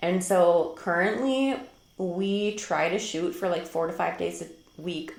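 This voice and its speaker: Someone talks with a strong Minnesotan accent, with noticeable background noise and audible room echo. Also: woman. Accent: thick Minnesota. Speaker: homeschool vlogger. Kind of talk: casual talk to camera. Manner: chatty, many fillers.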